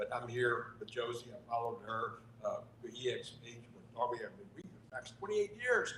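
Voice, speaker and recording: Audible room echo and noticeable background noise surround a man who talks fairly quickly. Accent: American. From Texas, near Beaumont. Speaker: real estate broker. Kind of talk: self-introduction at networking event.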